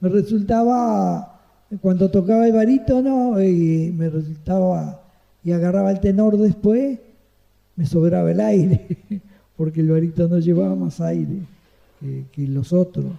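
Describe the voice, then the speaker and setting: This man speaks in a Uruguayan accent at a fairly slow pace, leaving long, frequent pauses. His voice is high-pitched with a dark, mellow tone and lively intonation. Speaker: retired saxophonist. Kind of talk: interview answer. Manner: pleasant, chatty.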